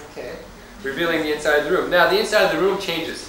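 A man talks at a high pitch with ordinary pitch variation. Light background noise and audible room echo surround him. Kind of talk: lecture. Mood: friendly, lightly humorous. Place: classroom. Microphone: old recording.

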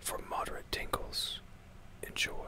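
Whispering at a fairly slow pace, a man speaks in a deadpan tone. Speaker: ASMR creator. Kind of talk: ASMR whispered humorous talk. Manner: whispered, deadpan, humorous. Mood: deadpan, dry humor. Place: home room.

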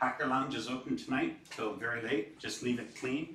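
Light background noise is present. A man talks with audible room echo around him. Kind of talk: announcements to audience. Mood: relaxed, joking. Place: classroom.

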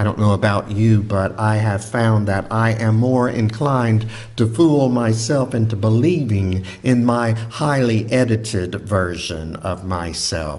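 Speaking at a very slow pace, a man talks with a fairly low pitch. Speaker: preacher. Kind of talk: sermon. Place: church. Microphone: studio mic.

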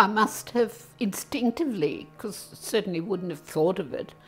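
A woman talks at a moderate pace while faint music sits in the background. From Serbia, Russian parents, then Australia. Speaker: interviewee recounting her life; interviewee. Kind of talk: personal testimony. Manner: hesitant, with fillers. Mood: reflective, emotional memories. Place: home room.

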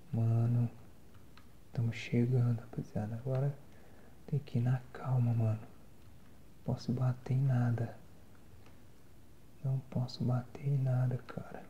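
A man's dark, mellow, somewhat breathy voice, monotone and flat, at a fairly slow pace with long, frequent pauses over light background noise. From Brazil. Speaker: ASMR and gaming content creator. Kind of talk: casual talk to camera while gaming. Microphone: phone near.

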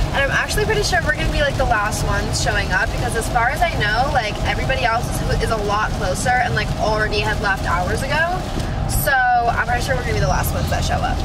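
Over loud background noise, a woman talks at a very fast pace in a dry sound with no echo. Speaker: vlogger. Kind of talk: casual vlog chat. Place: car. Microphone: phone near.

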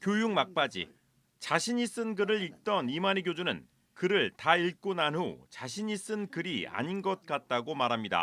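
A high-pitched man at a fairly slow pace, lively in intonation, on a very clean recording with a silent background. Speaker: news reporter. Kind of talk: TV news report.

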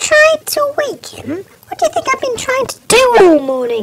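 Using a put-on character voice, a woman speaks at a moderate pace in an extremely high pitch, with very wide pitch swings and big swings in loudness. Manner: exasperated.

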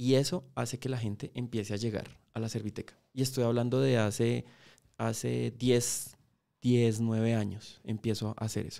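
Against a quiet background, a man with a dark, mellow tone speaks at medium pitch and a moderate pace with fairly even intonation. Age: 40s. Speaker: motorcycle mechanic and YouTuber; YouTuber. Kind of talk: interview conversation. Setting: podcast studio. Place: studio. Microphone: studio mic.

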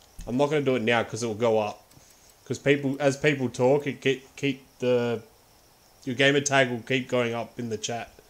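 A man with an Australian accent speaks at medium pitch. His pace is fairly quick, with ordinary pitch variation. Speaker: gaming livestreamer. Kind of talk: live game stream chat. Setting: home livestream setup. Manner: casual, frequent laughter.

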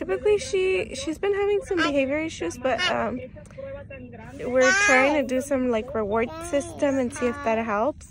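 Here a woman's high-pitched voice moves with lively intonation. The sound is dry with no echo, and there is noticeable background noise. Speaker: mother vlogger. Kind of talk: casual vlog chat. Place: car. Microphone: phone near.

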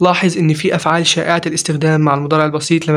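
A man's fairly high voice in monotone, flat intonation, over noticeable background noise. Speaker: English teacher. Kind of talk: lecture.

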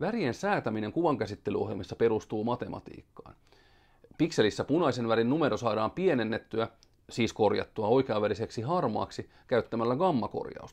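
Lively intonation marks a man talking at a moderate pace against a quiet background. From Finland. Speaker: science educator. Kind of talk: scripted educational explainer. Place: studio. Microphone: headset.

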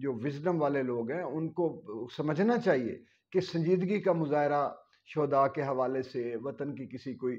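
A man speaks at a fairly slow pace in a fairly high pitch with ordinary pitch variation. The background is quiet. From Pakistan. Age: 50s. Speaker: political commentator and poet; political commentator, poet. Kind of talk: opinion monologue. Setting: video channel. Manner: animated. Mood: earnest, pained. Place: home room. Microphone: lapel.

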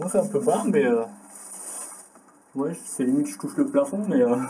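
At a moderate pace, a man with a medium pitch talks in a dark, mellow tone with a husky, rough edge and lively intonation.

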